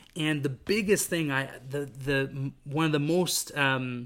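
In a very clean recording with a silent background, a fairly high-pitched man with a Western Canadian accent speaks in a bright, sharp tone with ordinary pitch variation. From Vancouver, British Columbia, Canada. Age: 20s. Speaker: podcast host. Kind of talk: solo podcast monologue. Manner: casual, with frequent fillers and restarts.

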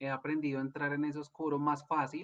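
A man with fairly high pitch talks at a moderate pace in a monotone, flat delivery. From Colombia. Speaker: life coach and energy therapist. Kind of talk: casual interview chat.

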